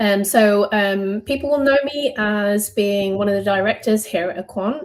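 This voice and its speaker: Her pitch is medium and shows ordinary pitch variation as this woman speaks. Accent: British. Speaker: software company director. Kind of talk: interview podcast. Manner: many filler ums.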